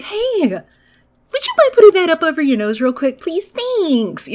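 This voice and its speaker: In a put-on character voice of extremely high pitch, the speaker moves at a moderate pace through very wide pitch swings. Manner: sweetly polite.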